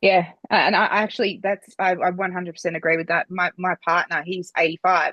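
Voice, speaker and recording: A woman's medium-pitched voice, bright and sharp in tone, with monotone, flat intonation, a fairly quick pace, and a dry, close sound with no echo. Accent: Australian. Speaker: podcast host. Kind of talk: podcast interview.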